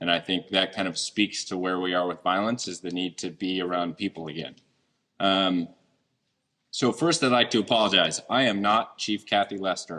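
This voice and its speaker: Loud and bright, with a sharp tone, a man speaks at a moderate pace with a very deep, low pitch and fairly even intonation. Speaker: deputy police chief. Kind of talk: speech at community event. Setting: event hall with audience, microphone.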